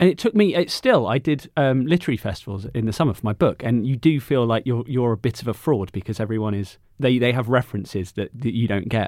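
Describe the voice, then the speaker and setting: Speaking very fast with hardly any pauses, a man with an English accent has a medium pitch and ordinary pitch variation, captured in a very clean recording with a silent background. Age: 30s. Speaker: journalist and author. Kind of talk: casual chat.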